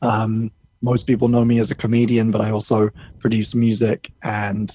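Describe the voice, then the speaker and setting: At a moderate pace, a man talks in a medium pitch with very even loudness and monotone, flat intonation. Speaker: lecturer and online comedian. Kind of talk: casual interview chat.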